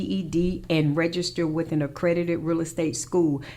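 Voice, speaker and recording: A woman talks at a fairly low pitch over noticeable background noise. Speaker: radio host and real estate broker. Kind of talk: radio show monologue. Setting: radio studio. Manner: fast.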